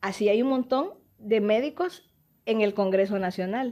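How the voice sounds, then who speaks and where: On a very clean recording with a silent background, a woman speaks at a medium pitch with a dark, mellow tone. She keeps a fairly slow pace with ordinary pitch variation. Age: 60s. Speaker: politician and doctor. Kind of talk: interview.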